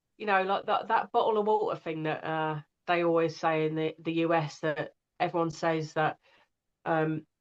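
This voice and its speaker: A woman's fairly low voice with an English accent, at a moderate pace and with fairly even intonation, over a quiet background. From England. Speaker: audiobook narrator. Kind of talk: casual interview conversation.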